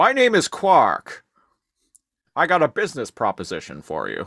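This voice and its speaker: A man speaks in a put-on character voice, high-pitched and at a moderate pace. The recording is very clean, with a silent background. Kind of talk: slick dealmaking pitch. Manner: scheming, salesman-like.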